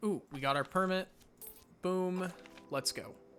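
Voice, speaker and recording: Male speech, neither fast nor slow, with background music. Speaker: gaming youtuber. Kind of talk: let's play commentary.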